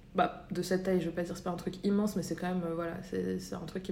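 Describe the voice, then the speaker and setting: A woman talks at a very fast pace in a fairly low pitch. Audible room echo and noticeable background noise surround her voice. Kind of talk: casual chat.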